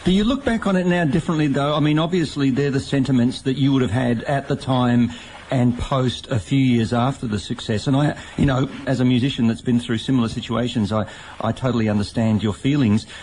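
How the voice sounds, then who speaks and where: A man with an Australian accent, medium-pitched, fairly quick, with ordinary pitch variation and very even loudness, over noticeable background noise. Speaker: radio host and former rock musician. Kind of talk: radio interview.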